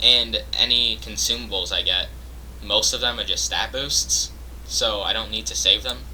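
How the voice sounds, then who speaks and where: A man keeps a moderate pace while noticeable background noise plays beneath him. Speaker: gaming youtuber. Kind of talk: casual commentary. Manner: hesitant, many fillers.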